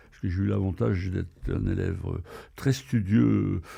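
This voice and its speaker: With vocal fry and a dark, mellow tone, a man at a very deep, low pitch makes very wide pitch swings at a moderate pace. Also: very clean recording, silent background. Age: 70s. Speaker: retired traveller and adventurer. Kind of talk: podcast interview. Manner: hesitant, many fillers.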